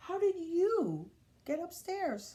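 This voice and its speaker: This is a squeaky, put-on character voice with an extremely high pitch. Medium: read story.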